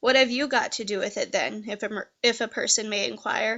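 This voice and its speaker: A woman puts on a raspy character voice at a fairly high pitch. She moves at a fairly quick pace with fairly even intonation. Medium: read story. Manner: relishing, gossipy.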